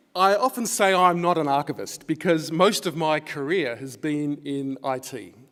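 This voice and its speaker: Here a man with an Australian accent speaks at a fairly high pitch with ordinary pitch variation. The recording is very clean, and the background is silent. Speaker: academic researcher. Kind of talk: conference lecture.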